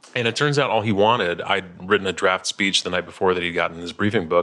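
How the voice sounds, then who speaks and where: A man with an American accent speaks at a very fast pace. His tone is bright and sharp. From Chicago, US Midwest. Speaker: author, former speechwriter. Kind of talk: interview chat about his book.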